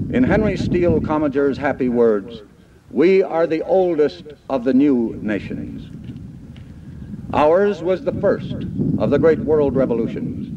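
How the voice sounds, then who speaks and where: Speaking with an American accent, a man with a fairly high pitch uses lively intonation at a fairly slow pace, leaving long, frequent pauses over noticeable background noise. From United States. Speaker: broadcaster and government agency director giving a commencement address. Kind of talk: commencement speech. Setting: archival reel-to-reel recording of a live ceremony. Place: stage.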